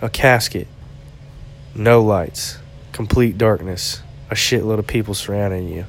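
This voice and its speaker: Over music in the background, the voice proceeds at a fairly slow pace with ordinary pitch variation. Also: man. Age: 30s. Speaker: podcaster. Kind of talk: casual monologue. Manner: halting.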